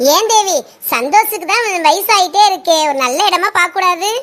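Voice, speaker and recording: A woman speaks at a fairly slow pace in a squeaky, cartoonish character voice, her pitch extremely high and her pitch variation ordinary. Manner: blunt, teasing.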